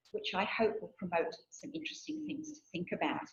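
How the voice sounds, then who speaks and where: Very wide pitch swings in a woman's somewhat breathy voice. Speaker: theology researcher and guest lecturer. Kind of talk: lecture. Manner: soft-spoken; reading from a script.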